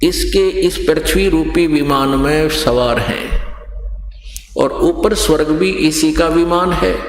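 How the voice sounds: A man at a slow pace with fairly even intonation and audible room echo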